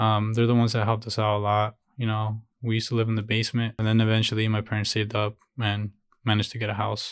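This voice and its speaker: A man with a Spanish accent talks at a very fast pace. His fairly low voice stays monotone and flat. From Jalisco, Mexico, raised in Chicago. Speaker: painter and illustrator. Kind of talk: casual chat. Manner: casual, relaxed.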